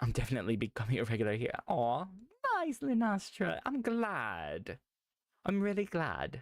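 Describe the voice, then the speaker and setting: A man with an American accent speaks at a fairly high pitch and a moderate pace. His pitch swings very widely while his loudness stays very even. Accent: sounds Australian to others. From United States. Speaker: streamer. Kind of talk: casual live-stream chat.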